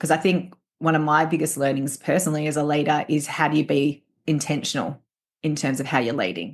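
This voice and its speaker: Over a quiet background, a woman speaks fairly quickly with very deep, low pitch, fairly even intonation and very even loudness. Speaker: leadership trainer and coach. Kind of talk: interview. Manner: fast.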